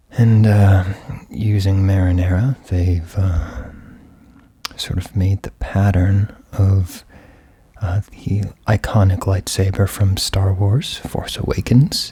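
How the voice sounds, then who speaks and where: A man speaks very slowly at a fairly low pitch, somewhat breathy. His intonation is fairly even, broken by long, frequent pauses. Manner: whispered, soft, ASMR style.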